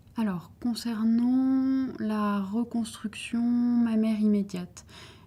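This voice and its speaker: Speaking at a very slow pace, a woman with a fairly high pitch sounds somewhat breathy, with a dark, mellow tone and fairly even intonation. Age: 30s. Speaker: breast cancer surgeon. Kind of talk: interview answer.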